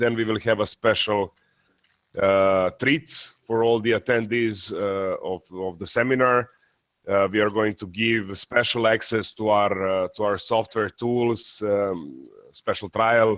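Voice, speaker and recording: A man speaks in a normal speaking voice, at a fairly slow pace. His pitch is fairly low and his intonation fairly even. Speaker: industry expert presenting a webinar. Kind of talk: webinar presentation.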